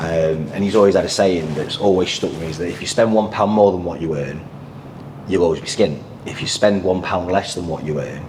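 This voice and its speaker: In a Yorkshire accent, a man with a very deep, low pitch and ordinary pitch variation talks fairly quickly, with audible room echo and noticeable background noise. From northern England, Sheffield, Yorkshire. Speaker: financial advisor. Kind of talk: podcast interview.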